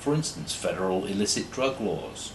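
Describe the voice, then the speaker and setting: Noticeable background noise and audible room echo surround a man with a British accent. He moves at a moderate pace with lively intonation. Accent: sounds British, like an Oxford don. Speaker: law lecturer. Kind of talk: lecture. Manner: formal.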